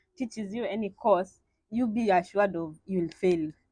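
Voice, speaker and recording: A woman with a Kenyan accent speaks with ordinary pitch variation. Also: dry, close sound with no echo. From eastern Kenya, village. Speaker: PhD student in astrophysics. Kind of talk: radio interview. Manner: halting, with fillers.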